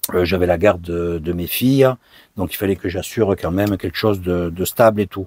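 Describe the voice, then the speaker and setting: A man speaks with ordinary pitch variation. The sound is dry and close, with no echo. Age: 60s. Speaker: vanlife vlogger. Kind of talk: casual Q&A monologue. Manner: hesitant, many fillers.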